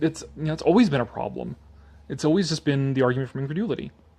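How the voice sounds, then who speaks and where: Over a quiet background, a man with a plain, everyday voice speaks at a fairly high pitch with lively intonation. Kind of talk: casual talk to camera, live commentary on an article. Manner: casual, conversational, sarcastic.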